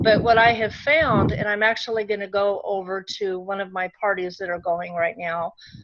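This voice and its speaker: A woman speaks at medium pitch and a moderate pace with hardly any pauses. Her pitch varies in an ordinary way, and there is noticeable background noise. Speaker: direct sales consultant training team. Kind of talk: online training session.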